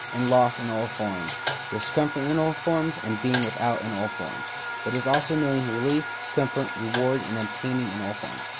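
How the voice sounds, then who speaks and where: A man at a moderate pace, with ordinary pitch variation, over loud background noise. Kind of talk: tutorial. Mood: calm, reflective. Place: workshop. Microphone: phone near.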